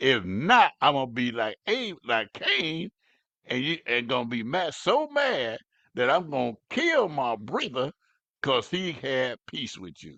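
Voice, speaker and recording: The voice is bright and sharp, with big swings in loudness. The sound is dry and close, with no echo. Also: man, medium pitch for a man, lively intonation, fairly slow pace. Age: 70s. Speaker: pastor. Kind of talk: sermon. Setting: live stream. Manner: halting, repetitive.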